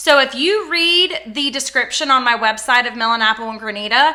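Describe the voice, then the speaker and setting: Over noticeable background noise, a woman with a high pitch uses a raised, projected voice at a moderate pace. Her tone is animated and her intonation lively. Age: 30s. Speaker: small business owner reviewing fragrance products. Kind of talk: casual product review vlog. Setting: home office.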